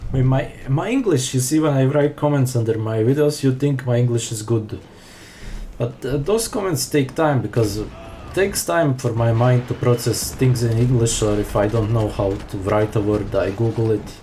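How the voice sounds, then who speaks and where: A man with a non-native accent speaks at a moderate pace and medium pitch, with ordinary pitch variation. Noticeable background noise runs underneath. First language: not English. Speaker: speedrunner. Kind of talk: gameplay commentary. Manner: unscripted, halting with fillers.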